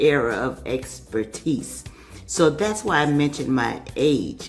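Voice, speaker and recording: Amid audible room echo, a woman with a very deep, low voice speaks very slowly yet with lively intonation. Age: 60s. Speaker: customer giving a testimonial. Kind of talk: testimony. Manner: hesitant with many fillers.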